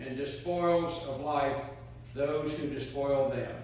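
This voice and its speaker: Over light background noise and strong room echo, a man speaks at a very slow pace. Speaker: clergy reader. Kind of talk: scripture reading. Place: church. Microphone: camera far.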